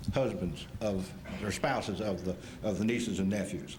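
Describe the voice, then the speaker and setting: Audible room echo surrounds the recording. A man with an American accent talks at a moderate pace. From Kansas. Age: 60s. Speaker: retired football player. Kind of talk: acceptance speech. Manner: halting.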